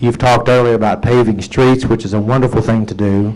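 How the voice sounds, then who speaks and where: Fairly quick delivery with fairly even intonation and audible room echo. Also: man. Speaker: attorney speaking at city council. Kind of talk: public comment at council meeting. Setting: city council chamber. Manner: fast.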